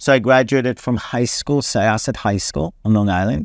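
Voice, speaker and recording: A man with an Israeli accent, fairly low pitch and ordinary pitch variation at a moderate pace, in a very clean recording with a silent background and a dry, close sound with no echo. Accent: Israeli-accented English, noticeable. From Israel, Herzliya. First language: Hebrew. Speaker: ministry leader, Bible teacher. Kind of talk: interview, personal testimony. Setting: in Tel Aviv branch office.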